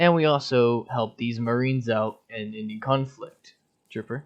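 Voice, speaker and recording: A man talks, his voice pitched in the medium range. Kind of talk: casual gaming unit recruitment walkthrough. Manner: hesitant, stumbling.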